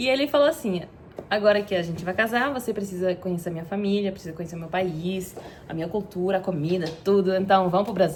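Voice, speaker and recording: Over noticeable background noise, a woman with a medium pitch speaks at a very fast pace, using ordinary pitch variation and big swings in loudness. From Belgium, Antwerp (Flanders). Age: 30s. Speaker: content creator. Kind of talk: personal vlog storytelling. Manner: halting, with fillers.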